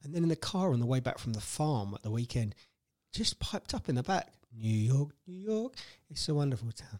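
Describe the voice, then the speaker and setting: In a British accent, a man talks at a fairly quick pace with a fairly high pitch and very wide pitch swings, in a dry, close sound with no echo. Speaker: podcast host, stay-at-home dad. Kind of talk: casual chat.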